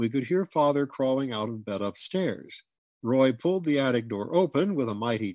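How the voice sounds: A natural reading voice with lively intonation is heard against a quiet background.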